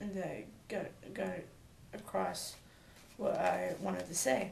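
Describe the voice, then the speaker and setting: Audible room echo surrounds a woman as she talks at a fairly slow pace. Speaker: vlogger. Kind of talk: personal vlog talk. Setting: home, talking to camera alone. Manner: stammering; halting, many fillers.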